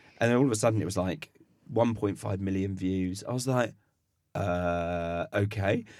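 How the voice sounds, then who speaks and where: Pitched fairly low with ordinary variation, a man in an unremarkable speaking voice talks at a moderate pace. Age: 30s. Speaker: chef and food waste content creator. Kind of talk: casual chat. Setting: studio.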